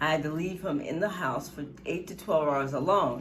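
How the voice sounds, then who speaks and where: Noticeable background noise sits behind speech that goes at a fairly quick clip. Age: 70s. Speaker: family caregiver, award honoree. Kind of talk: award testimony.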